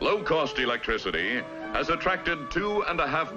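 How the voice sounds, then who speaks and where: A man keeps a moderate tempo while music plays behind him. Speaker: film narrator. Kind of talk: documentary film narration.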